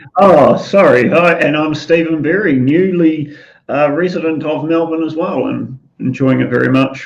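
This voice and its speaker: The man has a New Zealand accent and a fairly high pitch. His intonation is fairly even, and audible room echo surrounds him. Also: moderate pace. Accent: New Zealand, often taken for English. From New Zealand, Auckland. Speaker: talk show co-host. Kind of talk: live online talk show.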